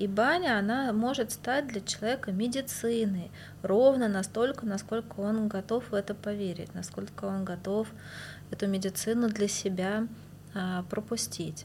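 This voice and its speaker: A somewhat breathy woman with a fairly high pitch speaks at a fairly slow pace. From Moscow, Russia. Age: 40s. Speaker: bathhouse practitioner and healer. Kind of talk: casual interview.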